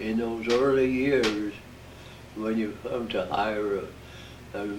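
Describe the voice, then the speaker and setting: There is noticeable background noise as a man with an American accent speaks very slowly at medium pitch with fairly even intonation. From Midwestern United States. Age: 80s+. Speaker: war veteran. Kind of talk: interview answer.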